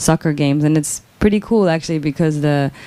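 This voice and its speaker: With a Spanish accent, a woman talks at a very fast pace in a very deep, low voice with a dark, mellow tone. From Mexico. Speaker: author. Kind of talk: Q&A answer at book talk. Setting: bookshop event with audience. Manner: halting, many repetitions.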